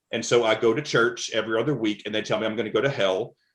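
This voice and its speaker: With a Southern US accent, a man speaks at a very fast pace in a medium pitch. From US South, rural Alabama. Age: 40s. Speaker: mental health speaker in addiction recovery. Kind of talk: interview testimony. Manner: halting, many fillers and repeats; animated.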